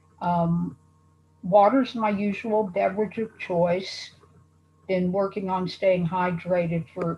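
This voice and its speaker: A woman talks very slowly in a somewhat breathy voice. Her medium pitch shows ordinary variation. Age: 70s. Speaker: patient panelist. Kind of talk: casual panel introduction.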